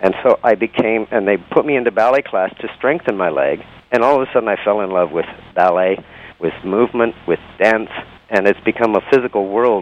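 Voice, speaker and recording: The man's pitch is fairly low, with ordinary variation. He talks at a fairly quick pace. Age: 60s. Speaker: dancer and entertainer. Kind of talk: interview. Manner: halting, many fillers.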